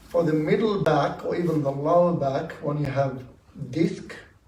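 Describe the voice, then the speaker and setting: The speaker talks at a fairly slow pace with fairly even intonation. Noticeable background noise and audible room echo fill the recording. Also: man. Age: 60s. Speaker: audience member at dharma talk. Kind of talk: audience Q&A sharing. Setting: meditation centre talk with audience.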